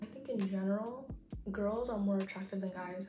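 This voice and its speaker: A soft-spoken woman talks at a fairly quick pace in a medium pitch. Audible room echo and noticeable background noise surround her. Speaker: college student and YouTuber. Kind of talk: casual chat. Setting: apartment with roommates. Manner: soft-spoken, talking quietly. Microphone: bad audio quality, quiet.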